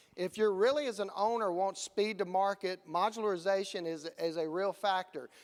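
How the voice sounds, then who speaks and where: A man speaks at a moderate pace in a Southern US accent, his pitch high. His pitch varies in an ordinary way, and he hardly pauses at all. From US Gulf Coast. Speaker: conference presenter. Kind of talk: conference presentation. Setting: stage with audience.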